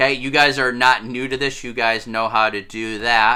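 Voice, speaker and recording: A man's medium-pitched, bright and sharp voice at a moderate pace, on a very clean recording with a silent background. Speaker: 6th grade teacher. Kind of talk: recorded classroom lesson tutorial.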